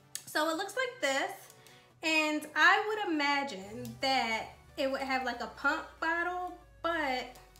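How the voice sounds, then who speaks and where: Music plays behind a woman whose raised, projected voice moves very slowly with lively intonation. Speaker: beauty YouTuber. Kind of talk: casual talk to camera.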